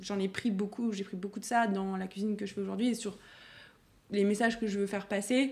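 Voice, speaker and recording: A somewhat breathy woman at a medium pitch, fairly quick and in a monotone, flat intonation. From Burgundy, France (Dijon, Auxerre). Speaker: chef. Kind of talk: interview.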